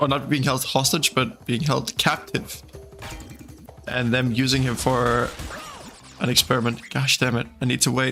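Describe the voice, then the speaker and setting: Over music in the background, a man with a slight Danish accent talks fairly slowly at a medium pitch with ordinary pitch variation. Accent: faint Danish. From Denmark. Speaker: gaming streamer. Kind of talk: casual livestream chat.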